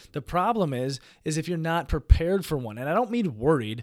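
In a very clean recording with a silent background, a man with an ordinary speaking voice talks at a fairly quick pace, fairly high in pitch, with lively intonation. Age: 30s. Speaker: podcast host, entrepreneur. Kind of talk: solo monologue, personal story. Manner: casual, profane.

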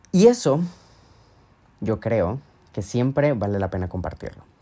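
A man's dark, mellow tone in a very clean recording with a silent background. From Venezuela, Mérida. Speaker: podcast host, language teacher and digital strategist. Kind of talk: solo monologue podcast. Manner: casual, conversational.

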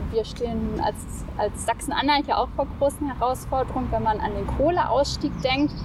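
A woman is speaking at a moderate pace. Noticeable background noise runs behind her. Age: 20s. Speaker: youth politician, legal trainee. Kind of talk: interview. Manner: hesitant, many filler sounds.

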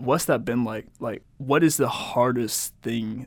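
An unremarkable speaking voice from a man with an American accent, medium pitch, and ordinary pitch variation. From United States. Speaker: podcast host. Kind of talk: casual chat.

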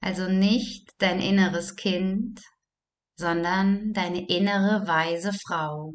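A woman with a medium-pitched voice speaks at a very slow pace with fairly even intonation. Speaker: meditation guide. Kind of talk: guided meditation. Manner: slow, calm, soothing; gentle, with long pauses.

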